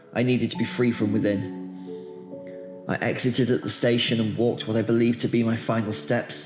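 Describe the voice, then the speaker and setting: A man talks at a medium pitch. Music plays in the background. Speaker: poet. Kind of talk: poetry reading. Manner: emotional.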